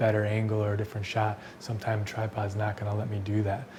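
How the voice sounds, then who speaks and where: A man at medium pitch is heard over noticeable background noise. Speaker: filmmaker. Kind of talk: casual tutorial talk to camera. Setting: indoors at night. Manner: whispered, quiet.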